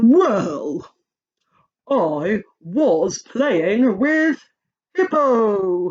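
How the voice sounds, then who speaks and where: This is a put-on character voice with a fairly high pitch. Its pitch swings very widely. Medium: read story. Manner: hesitant, giggly.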